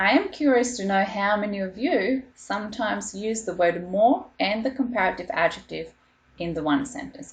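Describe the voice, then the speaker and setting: A woman with a non-native accent and lively intonation. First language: not English. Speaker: school teacher. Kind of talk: online lesson.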